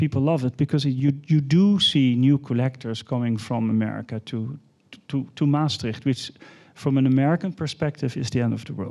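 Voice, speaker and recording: In a Dutch accent, a man talks at a moderate pace and a medium pitch. His tone is dark and mellow. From Netherlands. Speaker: art fair executive. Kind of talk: panel discussion.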